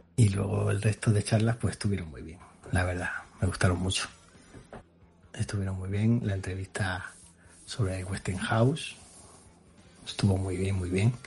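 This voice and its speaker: Noticeable background noise sits under this man's fairly low voice, which moves at a moderate pace with long, frequent pauses, fairly even intonation and big swings in loudness. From Extremadura, Spain. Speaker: retro computer enthusiast. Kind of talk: recorded voice message.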